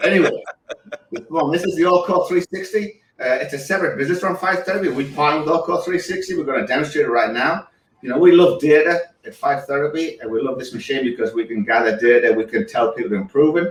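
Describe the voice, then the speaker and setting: A man with an English accent speaks at a very fast pace in a high pitch. His intonation is lively. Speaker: physical therapist. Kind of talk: product demonstration.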